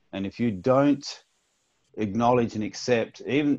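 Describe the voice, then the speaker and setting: A man speaks with an Australian accent. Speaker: actor. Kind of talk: interview. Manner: casual.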